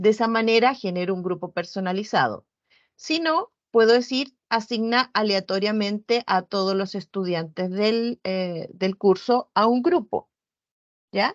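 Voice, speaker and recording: Pitch moves in an ordinary way at a fairly slow pace. It is quiet in the background. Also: woman. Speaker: virtual education coordinator; instructor giving a platform training. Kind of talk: online training session. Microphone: video call.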